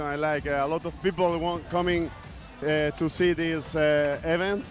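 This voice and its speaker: A man's fairly high-pitched voice with a Spanish accent, monotone, flat intonation and a moderate pace, with music in the background. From Spain. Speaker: water polo player. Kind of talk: post-match interview. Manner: halting.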